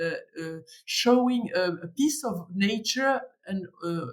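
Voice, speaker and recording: A woman speaks with a French accent. Her intonation is lively. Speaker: museum director and curator. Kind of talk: podcast interview. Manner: halting, many hesitations.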